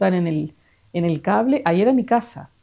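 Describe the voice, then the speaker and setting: A woman speaks at a moderate pace in a medium pitch, her tone dark and mellow, on a very clean recording with a silent background. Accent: Uruguayan. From Uruguay, Pando (Canelones). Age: 60s. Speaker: interviewee sharing life memories. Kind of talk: casual interview, life story. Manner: hesitant, many fillers.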